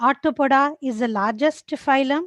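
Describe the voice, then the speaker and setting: Her pitch high, a woman speaks with ordinary pitch variation. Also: dry, close sound with no echo. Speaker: teacher. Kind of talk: lecture. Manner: slow.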